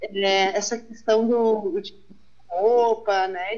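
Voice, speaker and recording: Very slowly, a woman speaks in a fairly high voice. Her intonation stays fairly even. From southern Brazil, Uruguaiana on the Argentine border. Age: 30s. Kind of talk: casual chat. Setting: remote recording.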